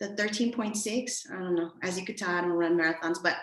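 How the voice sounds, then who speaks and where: A woman speaks with ordinary pitch variation. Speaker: premed advisor. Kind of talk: webinar presentation. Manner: fast.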